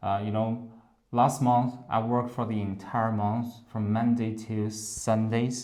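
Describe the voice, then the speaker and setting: With a Chinese accent, a man speaks at a fairly slow pace in a medium pitch, his tone dark and mellow and his intonation monotone and flat, with audible room echo. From China. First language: Mandarin Chinese. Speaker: English teacher. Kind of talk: interview. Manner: halting.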